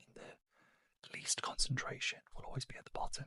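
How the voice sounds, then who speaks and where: A man whispers with a British accent in a dry, close sound with no echo. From United Kingdom. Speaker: beauty reviewer and trained beauty therapist. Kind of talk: ASMR unboxing and product review. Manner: whispered, soft-spoken.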